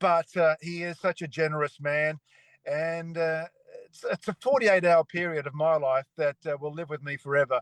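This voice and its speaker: Recorded with a dry, close sound and no echo, a man with an Australian accent speaks at a moderate pace in a fairly high pitch with fairly even intonation. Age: 60s. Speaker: retired cycling broadcaster. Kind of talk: casual chat.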